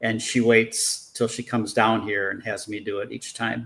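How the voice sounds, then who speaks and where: The speaker is a man with a plain, everyday voice. His pitch sits in the medium range. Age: 60s. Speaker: professional detailer and engineer. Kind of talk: casual interview chat.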